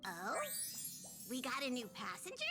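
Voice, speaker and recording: A female-sounding voice puts on a character voice at a high pitch, with clear background noise behind it. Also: moderate pace. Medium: game stream.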